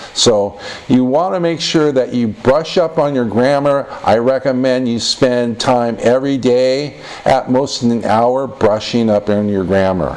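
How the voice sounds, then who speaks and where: A man with an American accent speaks at a fairly slow pace and a medium pitch, with ordinary pitch variation over noticeable background noise. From United States. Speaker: English test tutor. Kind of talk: tutorial.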